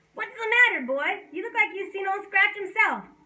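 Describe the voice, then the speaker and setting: Putting on a squeaky character voice, a woman speaks at an extremely high pitch at a moderate pace with ordinary pitch variation. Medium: read story. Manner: folksy drawling, laughing.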